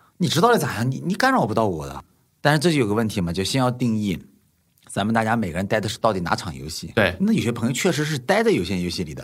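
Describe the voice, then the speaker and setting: On a very clean recording with a silent background, a man with a medium pitch and vocal fry talks at a very fast pace with very wide pitch swings. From Nanjing, China. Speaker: investor. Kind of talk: casual chat.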